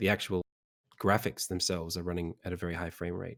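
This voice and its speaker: A man with an Australian accent talks at a very fast pace on a very clean recording with a silent background. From Sydney, Australia. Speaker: game developer. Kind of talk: casual interview during live stream.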